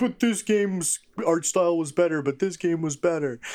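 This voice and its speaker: Using a put-on character voice, a man speaks at a high pitch and a moderate pace with ordinary pitch variation. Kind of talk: complaining, repetitive. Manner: mocking, scathing imitation.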